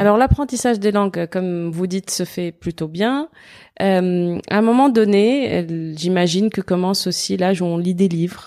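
On a very clean recording with a silent background, a woman speaks in a dark, mellow tone. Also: medium pitch for a woman, ordinary pitch variation, moderate pace. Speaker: podcast host. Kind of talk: interview.

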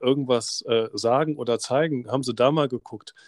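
A man with an unremarkable speaking voice at a medium pitch, ordinary pitch variation and a moderate pace, in a dry, close sound with no echo and a very clean recording with a silent background. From Germany, Rhineland (Oberdollendorf near Bonn). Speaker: teacher and podcast host. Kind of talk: podcast interview.

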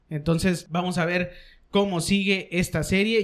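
A man speaks in an animated tone with a high pitch. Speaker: sports podcast host. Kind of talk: casual chat. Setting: studio.

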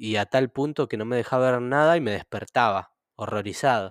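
A medium-pitched man with ordinary pitch variation, in a dry, close sound with no echo on a very clean recording with a silent background. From Argentina, Greater Buenos Aires (Moreno, Ciudad Oculta). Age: 30s. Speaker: photographer. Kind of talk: interview. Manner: halting, many repetitions.

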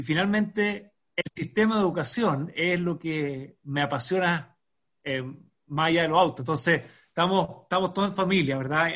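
A normal speaking voice at a moderate pace with ordinary pitch variation. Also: man. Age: 40s. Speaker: education nonprofit founder and engineer. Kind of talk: podcast interview.

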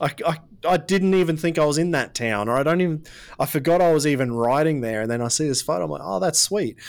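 A man in an Australian accent talks at a very fast pace with lively intonation. The recording is very clean, with a silent background. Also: fairly high pitch for a man. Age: 30s. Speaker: podcast host. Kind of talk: casual interview.

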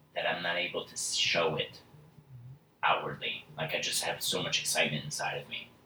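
With noticeable background noise, a man speaks at a moderate pace. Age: 20s. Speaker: salesperson. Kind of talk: casual chat.

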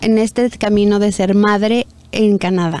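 A woman speaks at a very slow pace. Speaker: podcast co-host. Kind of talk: interview.

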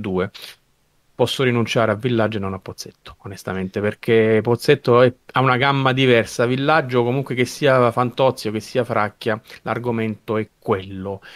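The man has a normal speaking voice and fairly even intonation. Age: 50s. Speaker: podcast co-host, film fan. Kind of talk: casual chat.

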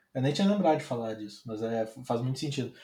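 Dark and mellow in tone, a man speaks at a medium pitch. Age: 20s. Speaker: designer. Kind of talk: casual chat. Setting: live stream. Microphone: audio too quiet.

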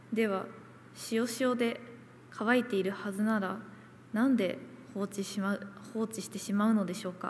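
A woman's fairly high, somewhat breathy voice at a moderate pace, with fairly even intonation and long, frequent pauses. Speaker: nurse. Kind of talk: testimony.

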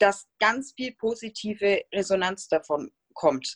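Recorded with a dry, close sound and no echo, a woman speaks with lively intonation. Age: 30s. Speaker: stay-at-home mother of two. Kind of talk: interview.

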